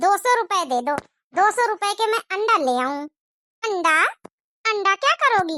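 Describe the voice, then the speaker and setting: A squeaky, cartoonish character voice that sounds female, pitched extremely high and delivered at a moderate pace. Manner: lively, confident.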